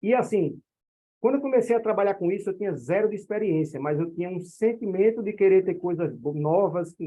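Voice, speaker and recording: A man speaks at a fairly quick pace with a northeastern Brazilian accent, his high-pitched voice showing ordinary pitch variation. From Northeast Brazil. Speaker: direct-sales network leader. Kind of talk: online meeting presentation. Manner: animated.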